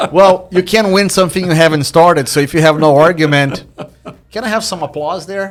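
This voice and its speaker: Speaking at a fairly quick pace, a man with a high pitch shows ordinary pitch variation. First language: not English. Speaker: real estate investor and podcast host. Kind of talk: podcast interview. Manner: animated.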